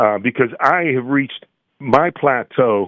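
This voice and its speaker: A man speaks at a moderate pace and medium pitch with ordinary pitch variation. He has an unremarkable speaking voice. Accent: American. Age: 60s. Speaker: musician. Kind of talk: casual chat.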